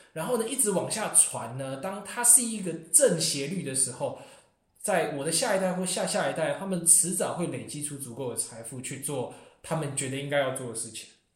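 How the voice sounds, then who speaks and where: A man talks at a fairly high pitch and a fairly quick pace, with very wide pitch swings. There is audible room echo. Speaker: international graduate student. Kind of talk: casual chat.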